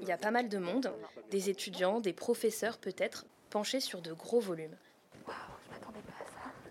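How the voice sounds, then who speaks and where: A woman at medium pitch, with ordinary pitch variation, big swings in loudness, a moderate pace, and long, frequent pauses. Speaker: podcast host and narrator. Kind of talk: true-crime narration, first-person investigative storytelling. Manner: intimate, conversational and lightly wry, with vivid scene-setting and hesitant asides.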